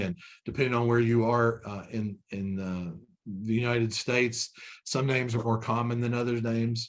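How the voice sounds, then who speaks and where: The man speaks with a Kentucky accent at a moderate pace. His intonation is monotone and flat. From Kentucky (Frankfort). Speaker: corporate trainer. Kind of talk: webinar training presentation. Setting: online webinar. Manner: conversational with many fillers and repetitions.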